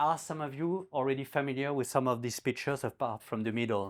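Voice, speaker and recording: The voice is a man's, pitched in the middle range. The recording is very clean and the background is silent. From France, Normandy. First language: French. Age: 60s. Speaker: newspaper editor and guest speaker. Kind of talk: talk to a community group. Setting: community event with audience.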